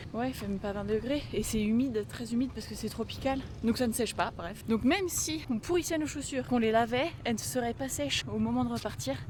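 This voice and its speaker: A woman talks fairly quickly, hardly pausing at all, while noticeable background noise carries on behind her. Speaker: travel vlogger. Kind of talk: travel vlog narration. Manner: whispering.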